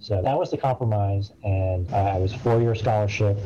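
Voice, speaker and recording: A man's fairly low, somewhat breathy voice with a dark, mellow tone and an American accent, at a fairly quick pace with fairly even intonation. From Massachusetts, suburb of Boston. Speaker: lawyer and army reserve officer. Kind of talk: interview.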